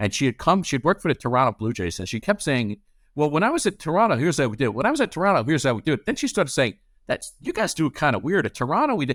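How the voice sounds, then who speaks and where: Talking at a very fast pace with very wide pitch swings, a man with a fairly high pitch comes through a very clean recording with a silent background and a dry, close sound with no echo. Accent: New York. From New York City. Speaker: corporate lawyer. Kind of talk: casual interview chat. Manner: rambling.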